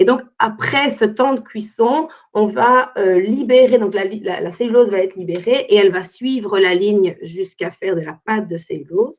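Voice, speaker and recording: A woman with a normal speaking voice talks at a moderate pace and a fairly high pitch, with ordinary pitch variation and hardly any pauses. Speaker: environmental consultant. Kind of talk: webinar presentation.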